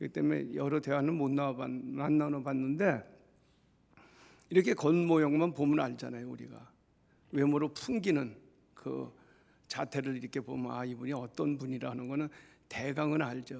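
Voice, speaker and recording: A man at a moderate pace with fairly even intonation and long, frequent pauses. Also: medium pitch for a man. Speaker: pastor. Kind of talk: funeral sermon. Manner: loud.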